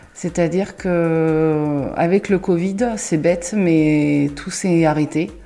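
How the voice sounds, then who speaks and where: A woman's fairly low voice at a very slow pace with hardly any pauses, fairly even intonation and noticeable background noise. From Paris region, France. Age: 30s. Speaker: kitchen designer. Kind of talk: interview. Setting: at the guest's home.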